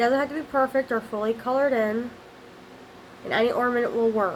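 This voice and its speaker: A woman with a high voice speaks very fast and with fairly even intonation over noticeable background noise. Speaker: craft video maker. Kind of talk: tutorial. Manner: halting, self-correcting.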